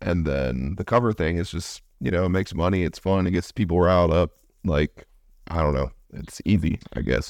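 Vocal fry marks this American-accented voice at a moderate pace, in a very clean recording with a silent background. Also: man, very deep, low pitch for a man, ordinary pitch variation. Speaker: podcast host and musician. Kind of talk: casual interview. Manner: casual, uses filler words.

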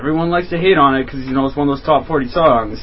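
The voice moves at a very fast pace. Noticeable background noise runs behind it. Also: man. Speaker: guest on friends' show. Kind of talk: casual banter.

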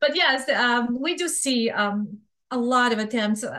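A woman with a Serbian accent. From Bosnia. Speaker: fraud prevention expert. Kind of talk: interview.

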